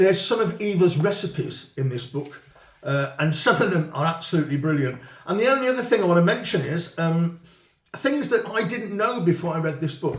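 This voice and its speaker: Lively intonation marks a British accent delivered at a fairly quick pace over noticeable background noise. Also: man, high pitch for a man. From UK. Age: 50s. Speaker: retired chef. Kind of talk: casual chat. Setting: on camera with a cameraman.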